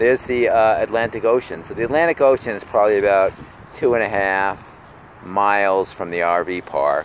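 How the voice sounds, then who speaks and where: A man speaks at a moderate pace in an ordinary speaking voice, his pitch fairly low with ordinary variation, over light background noise. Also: dry sound with no echo. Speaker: vlogger. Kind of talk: casual vlog chat. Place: street. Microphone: phone near.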